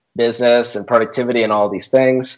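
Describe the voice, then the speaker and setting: In a very clean recording with a silent background, a man with a normal speaking voice at medium pitch shows ordinary pitch variation. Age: 20s. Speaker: productivity consultant. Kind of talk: interview.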